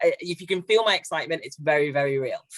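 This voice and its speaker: A woman with a slight northwest English accent, fairly low pitch and a very fast pace, in a dry, close sound with no echo. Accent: slight northwest English twang. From northwest England, near Haydock (Merseyside/Lancashire). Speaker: LGBT charity director, panelist. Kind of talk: panel discussion. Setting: online webinar.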